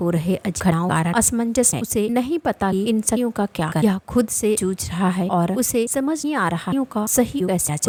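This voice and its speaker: A woman's lively intonation at a moderate pace, dry and close with no echo, over noticeable background noise. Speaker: voice-over narrator. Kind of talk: anime recap narration.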